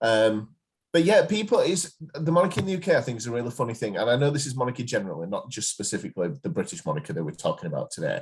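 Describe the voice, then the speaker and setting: A man in an English accent talks very fast. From England. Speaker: podcast co-host. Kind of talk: casual chat.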